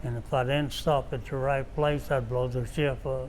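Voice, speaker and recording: A man with an Appalachian accent speaks at a medium pitch, and the room echo is audible. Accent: Appalachian Southern US. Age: 90s. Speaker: war veteran. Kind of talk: interview. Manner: halting.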